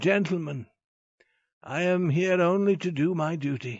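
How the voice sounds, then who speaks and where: A man's resonant, put-on character voice at a fairly slow pace. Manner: calm, commanding.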